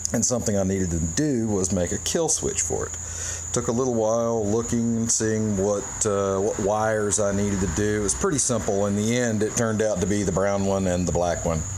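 Light background noise accompanies a man with an unremarkable speaking voice. His pitch is fairly low, his pace moderate and his pitch variation ordinary. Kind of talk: casual demonstration. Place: garage. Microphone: phone near.

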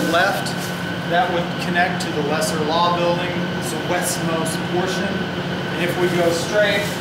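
Amid loud background noise and audible room echo, a man talks at a fairly slow pace. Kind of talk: interview answer. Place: tunnel cave.

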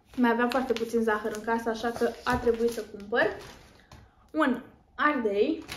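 Against noticeable background noise, a woman speaks fairly slowly at a fairly high pitch with fairly even intonation. She pauses long and often. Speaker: lifestyle vlogger. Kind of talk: haul video chat.

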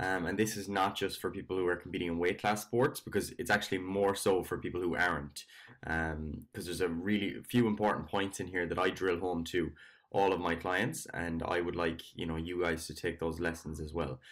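Very deep and low in pitch, a man speaks at a fairly quick pace. His intonation stays fairly even against a quiet background. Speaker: fitness coach. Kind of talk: casual vlog chat. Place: home room. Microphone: webcam.

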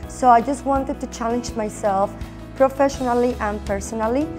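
A woman speaks with a Mexican accent. Clear music plays in the background. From Mexico. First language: Spanish. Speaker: former teacher and recent MBA graduate. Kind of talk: interview answer. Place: meeting room. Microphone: lapel.

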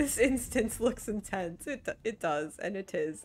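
Very wide pitch swings mark this very slow delivery in an American accent, with faint music in the background. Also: woman. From northern US. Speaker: video game streamer. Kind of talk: live gameplay stream commentary. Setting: live stream at home. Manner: casual, self-deprecating chatter with stumbles. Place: home room. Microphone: studio mic.

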